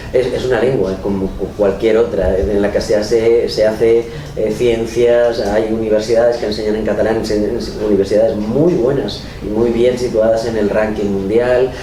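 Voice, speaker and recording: A man talks at a moderate pace with hardly any pauses, using a medium pitch and fairly even intonation. Audible room echo and noticeable background noise are present. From Valencia region, Spain. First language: Valencian Catalan (speaking Spanish). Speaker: writer and oral storyteller. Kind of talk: interview. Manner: halting, many fillers and restarts.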